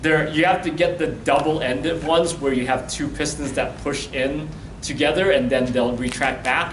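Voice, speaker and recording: There is noticeable background noise and audible room echo as a man talks at a moderate pace with ordinary pitch variation. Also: fairly high pitch for a man. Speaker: workshop presenter. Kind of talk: workshop lecture. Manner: loud.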